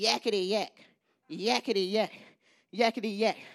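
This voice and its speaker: A woman puts on a shrill character voice at a medium pitch. She speaks at a moderate pace. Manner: taunting, jabbering, repetitive.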